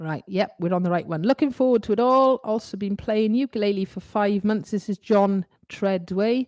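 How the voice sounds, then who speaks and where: A woman with a Welsh accent speaks at a medium pitch and a moderate pace, with ordinary pitch variation and hardly any pauses. The recording is very clean with a silent background, and the sound is dry and close with no echo. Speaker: ukulele teacher. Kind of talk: live stream Q&A. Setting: live stream. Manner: loud; animated.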